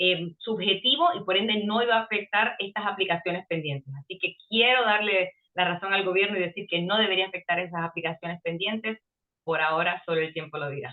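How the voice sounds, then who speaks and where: Speaking at a fairly quick pace, a woman uses a medium pitch. Her pitch varies in an ordinary way. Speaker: immigration lawyer. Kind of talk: interview. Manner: fast.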